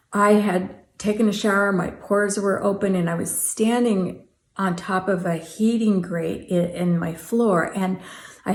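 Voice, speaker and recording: Somewhat breathy, a woman speaks with fairly even intonation amid audible room echo. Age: 60s. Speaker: art vlogger. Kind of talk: casual vlog talk.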